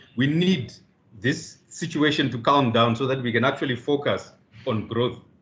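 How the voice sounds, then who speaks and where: A man of medium pitch speaks in a somewhat breathy voice. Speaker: business leader panelist. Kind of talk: seminar presentation.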